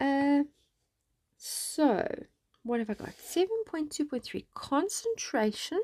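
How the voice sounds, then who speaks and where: A soft-spoken woman talks at a very slow pace with a high pitch and very wide pitch swings. The sound is dry and close with no echo, on a very clean recording with a silent background. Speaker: science teacher. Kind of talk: tutorial.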